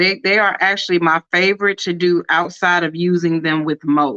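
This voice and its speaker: A woman speaks at a moderate pace in a fairly low pitch, her tone bright and sharp. The sound is dry and close, with no echo. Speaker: crafter and live-stream host selling rhinestones. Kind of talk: live craft tutorial stream. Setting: live stream. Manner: casual, chatty.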